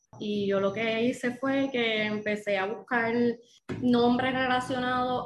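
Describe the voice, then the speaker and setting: A woman's fairly high voice at a fairly slow pace, with fairly even intonation and noticeable background noise. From Puerto Rico, Dorado area (Bo. Bonito). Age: 30s. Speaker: second-hand clothing business owner. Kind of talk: casual interview.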